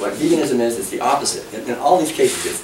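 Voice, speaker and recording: Very fast speech from a man, with noticeable background noise and audible room echo. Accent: American. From New England (Massachusetts). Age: 60s. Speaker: author and speaker. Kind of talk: public talk. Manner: animated.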